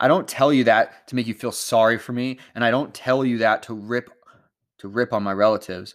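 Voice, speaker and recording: On a very clean recording with a silent background, a man speaks at a medium pitch and a fairly quick pace. He has a plain, everyday voice with fairly even intonation. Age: 30s. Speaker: podcaster reading and discussing a self-help book. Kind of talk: reading aloud; casual commentary.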